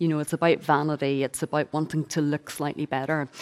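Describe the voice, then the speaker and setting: A woman speaks with a Northern Irish accent on a very clean recording with a silent background. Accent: Northern Irish (Belfast). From Northern Ireland, Belfast. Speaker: author and speaker on eating disorders. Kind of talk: testimony and talk.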